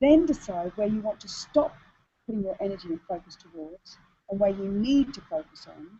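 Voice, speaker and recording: A somewhat breathy woman's voice with very wide pitch swings and big swings in loudness. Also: medium pitch for a woman. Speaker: business coach for women entrepreneurs. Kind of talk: webinar presentation. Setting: online video hangout. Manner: fast.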